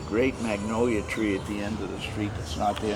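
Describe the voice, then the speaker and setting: This man talks at a moderate pace with a fairly low pitch. The room echo is audible, and there is noticeable background noise. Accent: American. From US Northeast, Boston. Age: 80s+. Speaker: family elder giving tour. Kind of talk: casual chat. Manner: halting.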